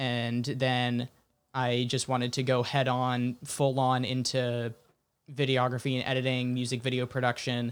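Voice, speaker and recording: Loudness stays very even as a man with an American accent talks at a fairly slow pace. His intonation is monotone and flat. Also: medium pitch for a man. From Sonoma County, California. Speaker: film director. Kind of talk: casual chat.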